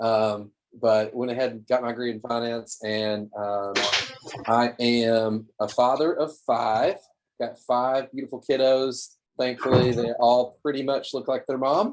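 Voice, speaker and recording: Speaking fairly slowly with fairly even intonation, a man talks in a Southern US accent. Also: medium pitch for a man. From Tennessee, Cookeville (US South). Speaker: small business owner, marketing and design consultant. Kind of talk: webinar presentation. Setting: video call.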